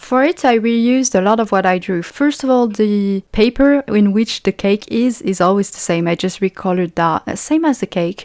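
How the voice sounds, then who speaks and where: A woman with a French accent, in a dry, close sound with no echo. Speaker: indie game developer. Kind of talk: devlog narration. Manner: casual, with fillers.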